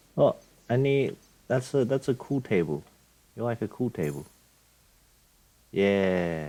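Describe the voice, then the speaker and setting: A man's dark, mellow voice moves at a fairly slow pace with very wide pitch swings and long, frequent pauses. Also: medium pitch for a man. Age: 20s. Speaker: gaming streamer. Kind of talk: let's play commentary. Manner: halting.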